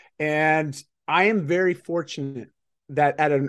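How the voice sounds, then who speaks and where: Here a man uses a normal speaking voice at a fairly high pitch. His pitch varies in an ordinary way against a quiet background. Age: 40s. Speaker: lifestyle business mentor and life coach. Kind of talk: casual interview.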